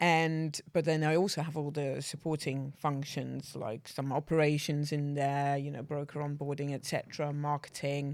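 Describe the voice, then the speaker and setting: In a Dutch accent, a woman speaks at a moderate pace with a very deep, low pitch. Her intonation is flat and monotone. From Netherlands, rural village. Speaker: banking executive. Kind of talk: casual interview. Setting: studio.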